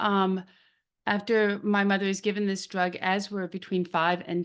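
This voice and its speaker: This is a plain, everyday voice. A woman speaks at medium pitch and a moderate pace over a quiet background. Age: 60s. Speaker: drug safety advocate. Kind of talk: interview.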